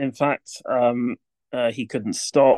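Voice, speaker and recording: Against a quiet background, a man talks very slowly at a medium pitch with monotone, flat intonation, the sound dry and close with no echo. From Swindon, England. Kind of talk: podcast interview.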